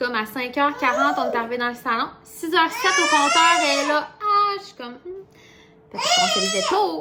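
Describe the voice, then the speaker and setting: The voice is raised and projected, with very wide pitch swings and a Quebec accent. Noticeable background noise sits behind it. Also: woman. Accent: Québécois French. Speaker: vlogger. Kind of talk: casual vlog chat. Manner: fast.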